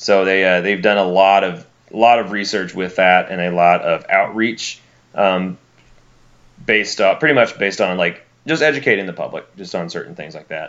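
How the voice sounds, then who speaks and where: Very deep and low in pitch, a man speaks with a Southern US accent and ordinary pitch variation. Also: moderate pace. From Alabama. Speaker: graduate student in wildlife biology, co-host. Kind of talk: casual chat. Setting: remote call over Skype.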